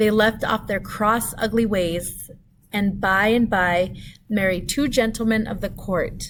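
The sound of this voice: An unforced reading voice of fairly even intonation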